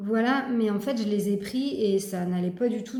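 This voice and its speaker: A woman at a medium pitch speaks in a dark, mellow tone that is somewhat breathy, with audible room echo. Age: 40s. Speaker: personal development vlogger. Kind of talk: personal testimony. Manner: halting, many fillers and repetitions.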